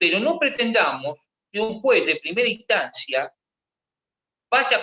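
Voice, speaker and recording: A man projects a raised voice with a bright, sharp tone and very wide pitch swings. The sound is dry and close, with no echo. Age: 60s. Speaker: retired army officer. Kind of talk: discussion workshop. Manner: halting.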